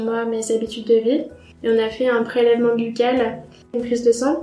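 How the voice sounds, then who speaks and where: Monotone, flat intonation comes through with audible room echo and noticeable background noise. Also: woman. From France, Troyes. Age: 20s. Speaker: cancer survivor, blogger. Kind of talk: testimony. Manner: halting.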